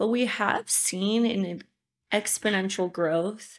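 A woman with an American accent has an ordinary speaking voice at medium pitch, with ordinary pitch variation. The recording is very clean, with a silent background. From US. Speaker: content creator and musician. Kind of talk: casual chat.

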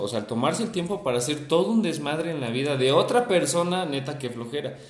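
A man with a Mexican accent, lively intonation and a moderate pace, amid audible room echo. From Mexico, Veracruz (Perote). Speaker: podcast co-host. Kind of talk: casual chat.

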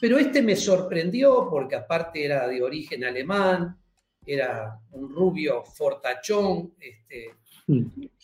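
A man with a high pitch speaks very slowly. His voice swings widely in pitch and shows big shifts in loudness. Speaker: church teacher. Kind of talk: religious teaching interview.

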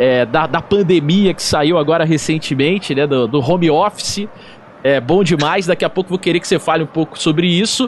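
Speaking with ordinary pitch variation, a man has a normal speaking voice set at a fairly high pitch. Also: moderate pace. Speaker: podcast host. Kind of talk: casual chat.

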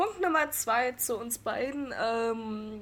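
In a Berlin accent, a woman speaks with ordinary pitch variation. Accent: Berlin-style 'jut' for 'gut'. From northeastern Germany, Rostock. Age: 20s. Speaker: podcast host. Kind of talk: casual chat. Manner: animated.

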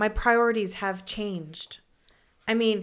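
The voice is loud and energetic in tone, captured on a very clean recording with a silent background. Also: woman. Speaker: podcast co-host. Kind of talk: casual chat.

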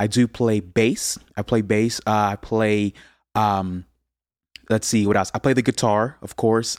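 A man with an American accent talks at a moderate pace in a normal speaking voice of medium pitch. The sound is dry and close with no echo, on a very clean recording with a silent background. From USA, Haitian parents. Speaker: musician, singer-songwriter and producer. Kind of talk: casual interview chat.

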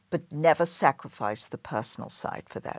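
A woman with an English accent, her pitch swinging very widely, on a very clean recording with a silent background. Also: dry, close sound with no echo. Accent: non-American, English. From London, England. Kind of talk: interview.

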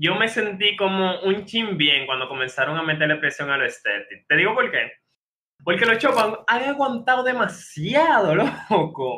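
This man sounds animated, his voice high and moving through very wide pitch swings. He keeps a moderate pace. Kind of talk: casual chat.

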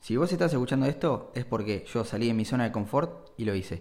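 Lively intonation marks this man's medium-pitched voice, delivered at a moderate pace in a Rioplatense accent. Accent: Argentine Rioplatense Spanish. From Argentina, Bahía Blanca. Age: 20s. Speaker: podcaster. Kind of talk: solo monologue podcast. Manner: halting, repeats words.

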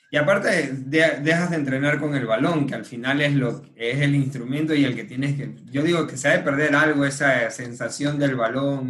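Over noticeable background noise and audible room echo, a man speaks at a moderate pace in a fairly high pitch with fairly even intonation. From Ecuador (Manabí). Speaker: podcast host. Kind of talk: casual interview.

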